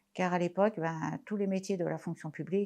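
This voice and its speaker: A woman with an ordinary speaking voice speaks at a moderate pace and a fairly low pitch. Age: 60s. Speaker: patient sharing testimony. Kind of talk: testimony.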